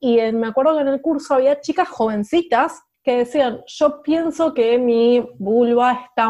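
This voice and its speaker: High-pitched, fairly slow speech from a woman, with ordinary variation in pitch. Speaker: podcast co-host, sociologist. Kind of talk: casual chat.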